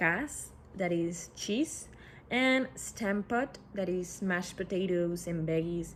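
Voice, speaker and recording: Speaking very slowly, a woman talks with a Spanish accent. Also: fairly low pitch for a woman, ordinary pitch variation. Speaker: student presenter. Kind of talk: class presentation. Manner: halting.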